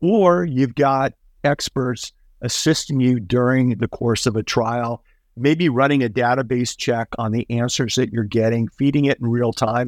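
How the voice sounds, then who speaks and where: On a very clean recording with a silent background and a dry, close sound with no echo, a man with an unremarkable speaking voice talks at a medium pitch and a fairly slow pace, with ordinary pitch variation. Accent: American. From US Southwest, Tucson, Arizona. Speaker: trial attorney and mediator. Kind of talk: interview.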